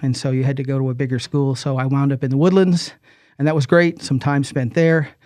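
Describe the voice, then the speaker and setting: With an American accent, a man in an ordinary speaking voice talks at a fairly quick pace, fairly high in pitch with fairly even intonation, over a quiet background. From US Northeast, New Jersey. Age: 60s. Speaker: retired school superintendent. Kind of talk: interview. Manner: casual, with many fillers.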